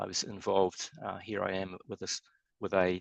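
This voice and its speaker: In a New Zealand accent, a man speaks at a very deep, low pitch. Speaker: structural engineer. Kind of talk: webinar presentation. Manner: fast.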